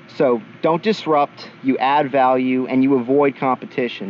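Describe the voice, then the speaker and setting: Noticeable background noise is audible in this clip. The man talking keeps his intonation fairly even. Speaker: podcast co-host. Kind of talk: casual podcast chat. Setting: podcast recording. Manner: fast.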